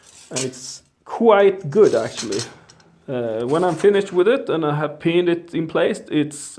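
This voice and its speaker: A fairly slow delivery in a Swedish accent. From Sweden. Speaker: bladesmith. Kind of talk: tutorial. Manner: halting.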